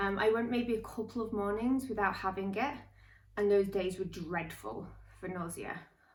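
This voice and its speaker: Her medium-pitched voice identifies the speaker as a woman. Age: 30s. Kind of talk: casual talk to camera.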